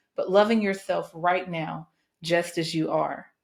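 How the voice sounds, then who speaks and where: Speaking at a fairly slow pace, a woman uses a fairly low pitch with vocal fry and fairly even intonation. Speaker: podcast host. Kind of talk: motivational speech, podcast monologue.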